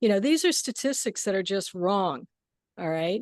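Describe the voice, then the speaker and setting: A normal speaking voice with lively intonation, dry and close with no echo, against a quiet background. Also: woman. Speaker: gong player and sound healer. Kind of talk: casual chat. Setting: video call.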